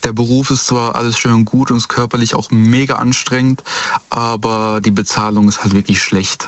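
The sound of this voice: At a medium pitch, a man speaks at a fairly slow pace. His pitch moves very little.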